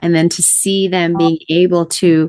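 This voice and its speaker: A woman's plain, everyday voice, fairly low in pitch, with fairly even intonation and a fairly slow pace. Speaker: podcast host. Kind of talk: interview question.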